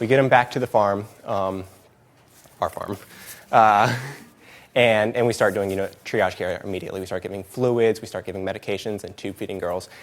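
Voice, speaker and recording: Fairly low male pitch, fairly even intonation and big swings in loudness at a fairly quick pace, broken by long, frequent pauses. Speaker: animal sanctuary staff presenter. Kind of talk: presentation. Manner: fast; hesitant, many fillers.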